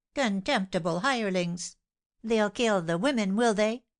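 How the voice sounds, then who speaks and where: A female-sounding put-on character voice of medium pitch speaks at a moderate pace with hissing against a quiet background. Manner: hissing, contemptuous.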